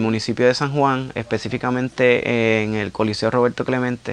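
The man talks at a medium pitch. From Puerto Rico, Carolina. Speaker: muralist and metal singer. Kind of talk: interview. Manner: hesitant, many fillers.

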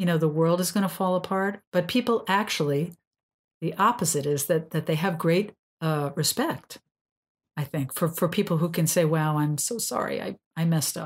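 A woman has an unremarkable speaking voice with a fairly low pitch. She keeps a moderate pace with ordinary pitch variation. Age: 60s. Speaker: sex and couples therapist, podcast host. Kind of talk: casual educational chat.

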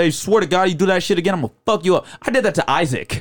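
Talking at a very fast pace in an animated tone, a man with a fairly high pitch comes through in a very clean recording with a silent background. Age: 20s. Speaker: stand-up comedian and podcaster. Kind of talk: casual interview chat. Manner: casual, profane, animated.

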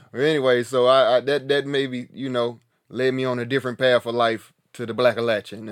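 A man with an Appalachian accent, medium-pitched, talking at a fairly quick pace. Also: very clean recording, silent background. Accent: Southern US (Appalachian North Carolina). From US South, mountains of North Carolina. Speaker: podcast host, hiker. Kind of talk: casual monologue. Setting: tiny house, home recording. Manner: animated.

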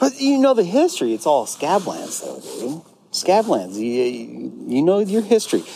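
A man's fairly slow speech is heard against noticeable background noise. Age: 40s. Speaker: podcast host. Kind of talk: casual chat. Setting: on location. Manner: animated.

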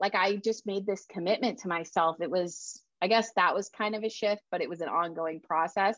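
A woman's medium-pitched, unremarkable speaking voice against a quiet background. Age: 30s. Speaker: writer and self-care coach. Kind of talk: casual interview.

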